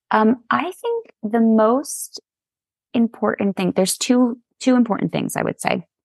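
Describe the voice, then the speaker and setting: In an ordinary speaking voice, a woman talks at a fairly slow pace with a fairly high pitch and ordinary pitch variation, the sound dry and close with no echo. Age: 40s. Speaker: photographer. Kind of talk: casual chat.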